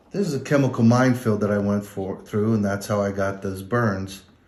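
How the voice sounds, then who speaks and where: In audible room echo, a man with an American accent speaks at a fairly quick pace with a fairly low pitch. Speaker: army veteran. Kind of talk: testimony. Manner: halting.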